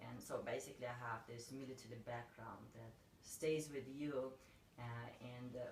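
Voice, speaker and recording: A woman with a Russian accent, a very deep, low pitch and fairly even intonation, at a moderate pace with audible room echo. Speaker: realtor. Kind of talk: interview.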